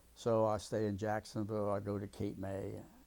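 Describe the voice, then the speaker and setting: A man speaks at a fairly low pitch in a dark, mellow tone. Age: 80s+. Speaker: war veteran. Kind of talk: oral history interview. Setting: at home. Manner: halting, with many repeats and fillers.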